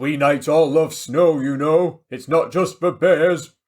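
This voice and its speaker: Putting on a rumbling character voice, a man speaks fairly slowly in a fairly high pitch with fairly even intonation. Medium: read story. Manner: grumbling.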